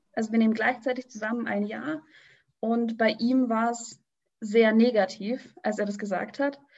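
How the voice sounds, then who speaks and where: Against a quiet background, a woman with a fairly high, somewhat breathy voice talks at a moderate pace in a monotone, flat intonation. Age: 20s. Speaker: radio trainee, pregnant guest. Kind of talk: casual interview.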